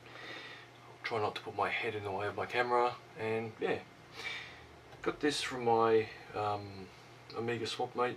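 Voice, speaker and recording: A man with an Australian accent speaks at medium pitch in a monotone, flat intonation. His pace is fairly slow with long, frequent pauses, and there is noticeable background noise. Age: 40s. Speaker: retro computer hobbyist YouTuber. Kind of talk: casual show-and-tell. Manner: hesitant, many fillers.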